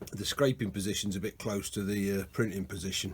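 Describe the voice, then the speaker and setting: At a moderate pace, a man with a fairly low pitch speaks in a somewhat breathy voice. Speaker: machinist demonstrating hand scraping. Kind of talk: workshop tutorial. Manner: casual, hesitant with fillers.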